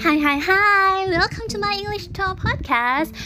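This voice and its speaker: A woman with a Thai accent uses a raised, projected voice and very wide pitch swings at a fairly slow pace, with noticeable background noise. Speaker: podcaster practicing English. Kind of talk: solo audio diary. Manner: casual, meandering non-native speech.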